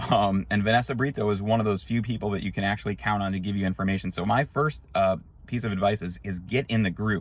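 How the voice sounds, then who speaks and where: Talking at a very fast pace, a man with a fairly low, animated voice shows vocal fry and ordinary pitch variation. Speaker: YouTube vlogger on unemployment issues. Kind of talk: casual vlog update.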